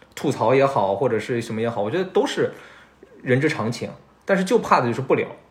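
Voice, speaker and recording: Lively intonation marks this man's somewhat breathy, medium-pitched voice. He talks at a very fast pace. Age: 30s. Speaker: podcast host. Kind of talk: casual chat. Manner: talkative.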